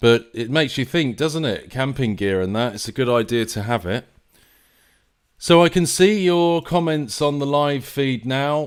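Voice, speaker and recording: A man with a southern English accent talks at a moderate pace in a fairly high voice. His intonation is lively, and the recording is very clean with a silent background. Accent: southern English, London-ish. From England. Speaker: live stream host. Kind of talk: live stream commentary. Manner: hesitant, many fillers and repeats; casual, conversational.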